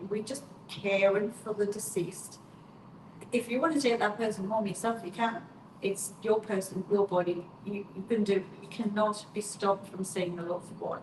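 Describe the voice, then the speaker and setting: Noticeable background noise sits under speech of moderate pace and fairly even intonation. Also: woman, medium pitch for a woman. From northeast England, County Durham. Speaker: mortician. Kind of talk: live stream Q&A. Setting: live stream.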